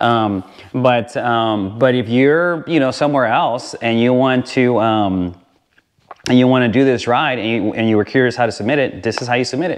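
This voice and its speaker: A man talks at a moderate pace in a normal speaking voice. His pitch is medium, with ordinary variation. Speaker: motorcycle vlogger. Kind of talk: tutorial. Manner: casual with many fillers.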